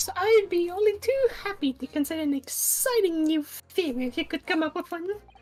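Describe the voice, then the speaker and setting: A squeaky, put-on character voice from a woman, extremely high in pitch, with lively intonation and a fairly quick pace. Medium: fan dub. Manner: airy, affected, repeats catchphrases.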